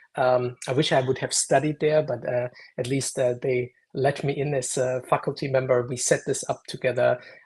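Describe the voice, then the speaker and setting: A man with a German accent speaks at a moderate pace and a medium pitch. His voice is somewhat breathy, with monotone, flat intonation. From Germany, Munich. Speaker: AI consultant and lecturer. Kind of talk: interview. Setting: live stream video call.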